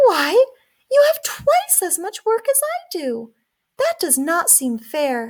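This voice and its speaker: This put-on character voice is squeaky and moves at a fairly slow pace. Its pitch swings very widely. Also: woman, extremely high pitch for a woman. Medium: read story.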